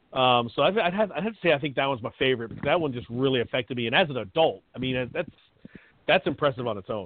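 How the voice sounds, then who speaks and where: A man talking at a very fast pace with lively intonation. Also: medium pitch for a man. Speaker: podcast co-host. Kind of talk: casual chat.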